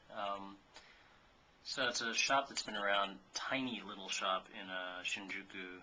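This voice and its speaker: A man's fairly low voice holds fairly even intonation as noticeable background noise sounds behind it. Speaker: vlogger. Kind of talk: casual vlog monologue. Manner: halting, many fillers; self-described as not very articulate.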